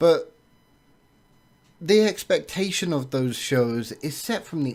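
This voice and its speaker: Very slow speech in an English accent with lively intonation, in a very clean recording with a silent background. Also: man. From England. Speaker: movie reviewer. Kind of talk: film review monologue. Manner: hesitant, frequent uh and um fillers.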